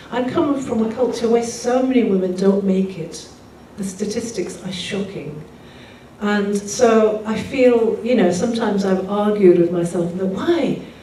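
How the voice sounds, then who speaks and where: With an English accent, the speaker goes at a fairly slow pace with ordinary pitch variation, amid noticeable background noise and audible room echo. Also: woman, medium pitch for a woman. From England, Pakistani background. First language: Urdu. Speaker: singer-songwriter. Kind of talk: talk to live audience.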